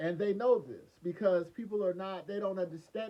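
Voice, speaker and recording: This man talks at a fairly quick pace. His voice is high-pitched, with a dark, mellow tone. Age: 50s. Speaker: former biohazard removal worker. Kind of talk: casual monologue. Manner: rambling, hesitant with repeats.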